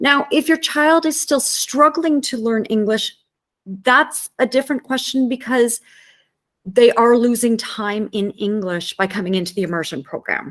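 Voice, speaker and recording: Moderate-paced speech from a woman, high in pitch and lively in intonation. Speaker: French immersion teacher. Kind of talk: presentation to parents.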